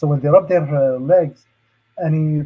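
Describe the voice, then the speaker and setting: A man with an Arabic accent talks at a fairly slow pace in a fairly high pitch, somewhat breathy, with ordinary pitch variation. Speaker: safety trainer and hazmat expert. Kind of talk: lecture. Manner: hesitant, many fillers.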